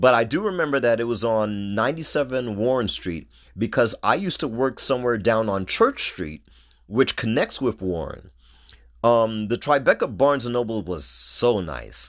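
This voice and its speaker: This man speaks with a New York accent and lively intonation. He keeps a moderate pace. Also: medium pitch for a man. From New York City (Brooklyn and Queens). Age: 50s. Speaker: podcast host. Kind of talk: solo podcast monologue.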